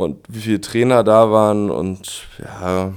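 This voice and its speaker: A man's fairly even intonation on a very clean recording with a silent background. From Berlin (Spandau, West Berlin). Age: 30s. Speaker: professional footballer. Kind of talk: interview.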